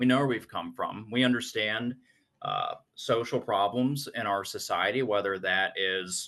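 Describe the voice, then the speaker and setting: The tone is bright and sharp, with an American accent. Pitch varies in an ordinary way at a moderate pace. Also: man. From North Carolina and Virginia. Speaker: conference operations manager. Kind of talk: interview conversation.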